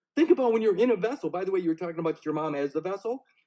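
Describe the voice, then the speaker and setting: A man's dark, mellow tone moves through very wide pitch swings. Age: 60s. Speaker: author and interviewer. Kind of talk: casual chat. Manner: animated.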